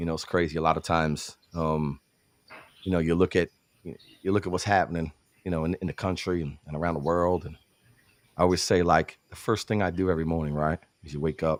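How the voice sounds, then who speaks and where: A man with a New York accent has a very deep, low pitch and takes long, frequent pauses. The sound is dry and close with no echo. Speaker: podcast host. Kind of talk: casual interview chat. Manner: animated.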